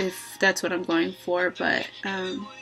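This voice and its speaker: Fairly slow speech over faint music in the background. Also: woman. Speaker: vlogger, music student; vlogger. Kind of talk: personal vlog reflection. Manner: hesitant, many filler words; reflective, thoughtful. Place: home room. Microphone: webcam.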